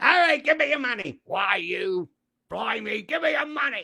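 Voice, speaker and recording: This put-on character voice sits high in pitch, moving at a moderate pace with very wide swings in pitch. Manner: mock-threatening, comedic.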